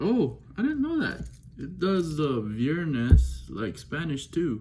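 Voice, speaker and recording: A man talks at a very slow pace, and audible room echo follows his words. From Belize. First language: Belizean Creole. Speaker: watch enthusiast unboxing. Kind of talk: casual unboxing vlog. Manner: casual, chatty, off-the-cuff.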